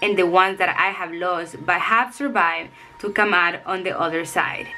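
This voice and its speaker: A woman speaks in a Spanish accent at a moderate pace. Noticeable background noise can be heard. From El Salvador. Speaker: self-help author and coach. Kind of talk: reading aloud; vlog talk to camera.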